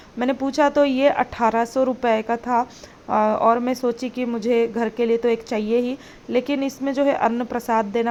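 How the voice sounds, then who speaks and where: At a fairly high pitch, a woman speaks with a non-native accent. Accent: non-native Hindi, self-described poor Hindi. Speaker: food and family vlogger, working mother. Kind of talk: vlog voiceover narration. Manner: hesitant, many fillers.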